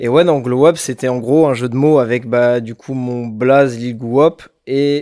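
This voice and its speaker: Very slowly and with fairly even intonation, a man speaks at a medium pitch in a dark, mellow tone, recorded very cleanly against a silent background. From France, Bordeaux. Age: 20s. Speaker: rapper. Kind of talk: interview. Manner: hesitant, many fillers.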